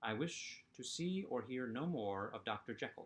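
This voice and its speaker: A man's put-on character voice, medium in pitch and shaky, with lively intonation, a moderate pace, and a very clean recording over a silent background. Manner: loud.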